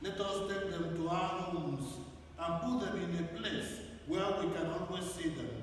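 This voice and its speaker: With strong room echo and light background noise, a man speaks at a moderate pace in a high voice with fairly even intonation. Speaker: priest. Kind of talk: scripture reading, Gospel proclaimed aloud in liturgy; liturgical blessing and homily. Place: church.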